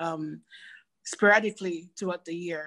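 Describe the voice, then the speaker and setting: A woman with an American accent, fairly low in pitch, at a fairly slow pace with monotone, flat intonation. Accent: Belizean Garifuna-tinged English. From Belize, Dangriga; US from age 14. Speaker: professor. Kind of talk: interview.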